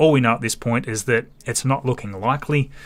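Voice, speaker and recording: Bright and sharp in tone, a man's voice carries an Australian accent. He speaks at a moderate pace. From Australia, Tasmania. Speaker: space livestream host. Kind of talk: live stream commentary and chat reading.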